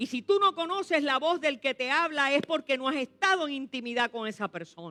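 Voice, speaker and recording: A woman speaks in a raised, projected voice at a high pitch and a fairly quick pace. Her tone is animated, bright and sharp, and the sound is dry and close with no echo. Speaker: pastor. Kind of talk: sermon.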